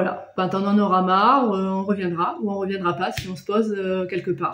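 A somewhat breathy woman speaks amid audible room echo. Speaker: travel vlogger. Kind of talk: casual vlog chat. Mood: calm, explanatory. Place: home room. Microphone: phone near.

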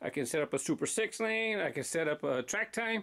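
Lively intonation runs through this man's speech. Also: quiet background. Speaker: toy track channel host. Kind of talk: casual vlog chat. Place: office. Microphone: phone near.

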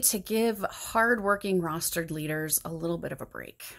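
Pitch variation is ordinary as a woman speaks at a moderate pace. Nothing much is heard behind her. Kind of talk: sermon. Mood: earnest, calm, reflective. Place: home room. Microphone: phone near.

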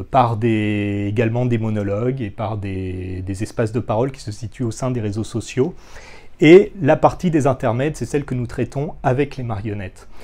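A man with a dark, mellow tone speaks at a moderate pace, with ordinary pitch variation and big swings in loudness. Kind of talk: interview answer. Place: workshop. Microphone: lapel.

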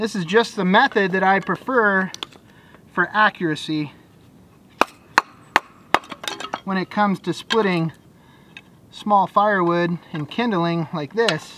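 A man's raised, projected voice at a fairly slow pace, with long, frequent pauses, ordinary pitch variation, a dry sound with no echo, and light background noise. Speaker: van life vlogger. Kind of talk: casual vlog chat. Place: open country.

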